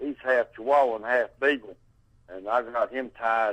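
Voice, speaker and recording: In an ordinary speaking voice, a man talks at a moderate pace with a medium pitch and lively intonation. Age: 60s. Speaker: caller reporting a strange encounter. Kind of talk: phone-in conversation.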